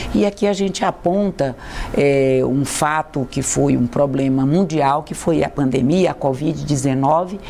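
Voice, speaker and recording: Noticeable background noise under a female voice with ordinary pitch variation. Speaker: university rector. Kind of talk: TV interview.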